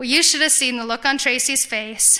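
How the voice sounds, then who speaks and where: High-pitched and bright with a sharp tone, the woman speaks with fairly even intonation. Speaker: ex-Jehovah's Witness giving testimony. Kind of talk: testimony. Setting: conference stage with audience. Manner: fast; halting, many fillers and restarts.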